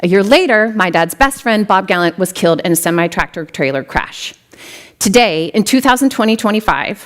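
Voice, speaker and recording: At a fairly quick pace, a woman talks with an American accent in a medium pitch. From US Midwest, western South Dakota. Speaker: tech executive, keynote speaker. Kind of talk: keynote speech. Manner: fast.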